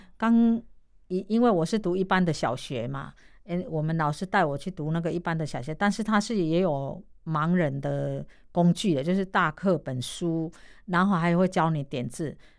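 Pitched fairly low, a woman speaks at a moderate pace with ordinary pitch variation. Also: very clean recording, silent background. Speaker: massage therapist and street performer. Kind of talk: radio interview, casual.

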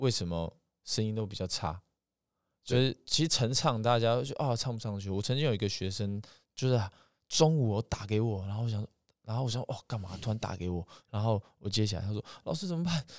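In a very clean recording with a silent background and a dry, close sound with no echo, a man in an unremarkable speaking voice talks at a fairly quick pace, his medium pitch varying in an ordinary way. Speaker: singing teacher. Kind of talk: interview conversation.

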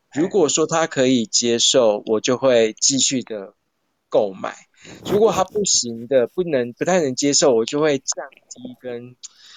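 Speaking at a fairly slow pace, a man uses lively intonation. His pitch is medium. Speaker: human design commentator. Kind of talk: casual chat. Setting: live social audio room.

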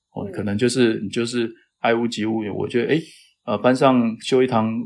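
Here a man speaks with a medium pitch and fairly even intonation. He goes at a fairly quick pace. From Taiwan (Taitung). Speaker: climate science professor. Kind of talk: interview. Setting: remote call. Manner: hesitant, many fillers.

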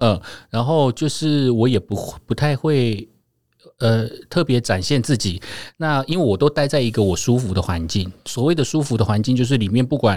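With a plain, everyday voice, a man talks at a moderate pace and medium pitch, his intonation lively and his loudness very even, on a very clean recording with a silent background. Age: 40s. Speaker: podcast co-host. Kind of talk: casual chat.

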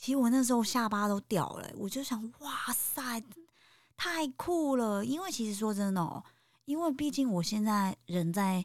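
At a fairly slow pace, a woman talks with a fairly high pitch, an animated tone and lively intonation, on a very clean recording with a silent background. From Taiwan, Taipei. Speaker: podcast host, guesthouse owner. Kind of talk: casual interview.

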